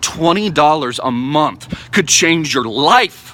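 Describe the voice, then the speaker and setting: A man speaks in an animated tone at a fairly high pitch. Noticeable background noise runs under his voice. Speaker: crypto investment YouTuber. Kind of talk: vlog monologue. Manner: fast.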